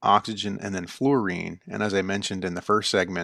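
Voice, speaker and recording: A man talks at a very fast pace with a fairly low pitch and vocal fry. The recording is very clean, with a silent background. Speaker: chemistry instructor. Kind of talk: recorded lecture. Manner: fast-paced.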